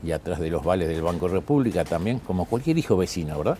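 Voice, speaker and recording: Dark, mellow tone at a fairly quick pace. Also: man. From Uruguay. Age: 60s. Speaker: plane crash survivor, speaker and painter. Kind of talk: interview.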